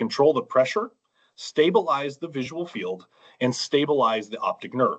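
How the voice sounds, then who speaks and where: A man talks fairly quickly in a fairly high voice with vocal fry. His pitch swings very widely. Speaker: eye doctor, glaucoma specialist. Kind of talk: public comment presentation. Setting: online meeting.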